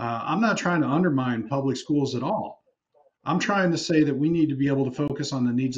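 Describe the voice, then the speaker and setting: Pitched fairly high, this man speaks with an Upper Midwest accent. He talks at a fairly quick pace with ordinary pitch variation. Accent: Upper Midwest (Minnesota). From Minnesota (Prior Lake); Minnesota. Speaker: state senator. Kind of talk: televised panel discussion. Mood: earnest, argumentative. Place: home room. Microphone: video call.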